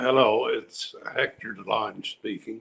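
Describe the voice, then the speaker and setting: Speaking very slowly, a man talks with a Canadian accent. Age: 80s+. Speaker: attendee, family descendant. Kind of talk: casual remarks on video call. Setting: video call.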